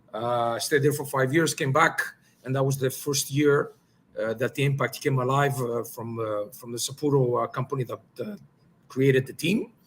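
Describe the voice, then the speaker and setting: Medium-pitched, somewhat breathy speech from a man with a Greek accent, ordinary pitch variation, and a moderate pace. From Greece, moved to Montreal at ten. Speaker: soccer technical director, former pro player. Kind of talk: podcast interview. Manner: hesitant, many fillers.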